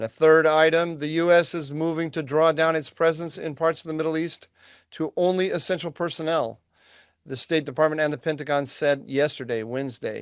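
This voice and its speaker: Fairly quick, fairly high-pitched male speech in an unremarkable speaking voice, with fairly even intonation and a quiet background. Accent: American. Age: 60s. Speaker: podcast co-host, think tank analyst. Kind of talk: news rundown; casual podcast conversation.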